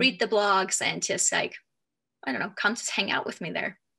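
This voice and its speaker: Against a quiet background, a woman with a Finnish accent speaks at a medium pitch in a bright, sharp tone. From Finland. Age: 30s. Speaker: authenticity coach, former professional volleyball player. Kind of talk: interview.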